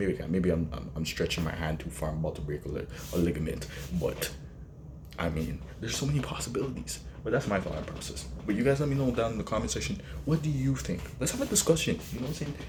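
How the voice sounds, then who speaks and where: Soft-spoken at a very fast pace, a man with a very deep, low pitch makes very wide pitch swings amid audible room echo. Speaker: wrestling commentary vlogger. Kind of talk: casual vlog commentary. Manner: quiet, soft-spoken; animated.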